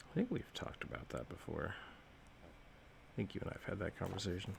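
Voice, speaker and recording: A man mumbles at a very fast pace against noticeable background noise. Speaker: artist. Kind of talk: casual chat. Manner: mumbling.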